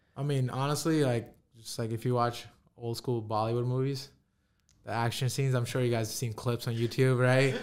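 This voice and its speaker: Speaking at a fairly quick pace, a man with an American accent holds a medium pitch and monotone, flat intonation. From New York (Queens), with early childhood in India. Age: 20s. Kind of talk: casual interview chat. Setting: studio.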